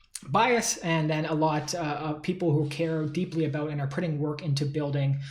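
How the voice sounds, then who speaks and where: A man speaks with a fairly high pitch and fairly even intonation. There is audible echo in the room. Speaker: tech company founder. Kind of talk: solo talk to camera. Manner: fast; casual with many fillers.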